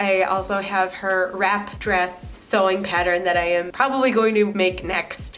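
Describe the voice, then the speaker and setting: A woman's medium-pitched voice with fairly even intonation, music in the background. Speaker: knitting and sewing vlogger. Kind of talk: casual talk to camera. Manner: cozy, relaxed.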